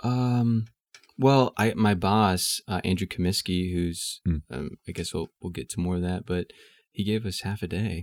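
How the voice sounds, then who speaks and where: A man with an American accent talks at a fairly slow pace in a very deep, low voice. The sound is dry and close with no echo, on a very clean recording with a silent background. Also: ordinary pitch variation. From US South, Houston, Texas. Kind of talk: casual interview.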